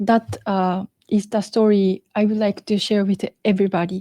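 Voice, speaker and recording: A woman with a Japanese accent speaks fairly slowly at a medium pitch in a dark, mellow tone, flat and monotone at very even loudness. The recording is very clean with a silent background, dry and close with no echo. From Okinawa, Japan. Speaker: podcast co-host, researcher. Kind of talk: storytelling in discussion. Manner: halting.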